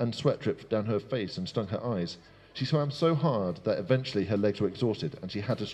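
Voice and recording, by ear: The intonation is lively. Someone reads aloud in a natural voice.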